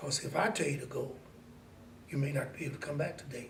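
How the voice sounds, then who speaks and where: A man with an American accent, with audible room echo. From US Midwest, Mansfield, Ohio. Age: 70s. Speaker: community elder. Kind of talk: oral history interview.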